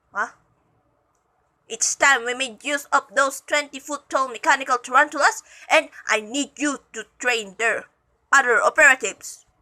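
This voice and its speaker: Using a put-on character voice pitched high, a woman talks at a moderate pace with long, frequent pauses. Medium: read story. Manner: menacing, domineering.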